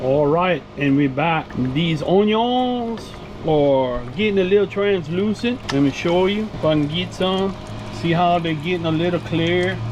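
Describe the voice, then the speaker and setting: Through audible room echo and noticeable background noise, a man speaks at a high pitch with ordinary pitch variation. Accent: strong Louisiana. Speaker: cooking vlogger. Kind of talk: cooking tutorial. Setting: RV kitchen. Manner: casual, folksy.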